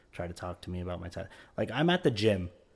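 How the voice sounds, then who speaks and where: A man with an American accent rattles off his words at a very fast pace. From Florida. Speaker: podcast co-host. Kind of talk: casual chat.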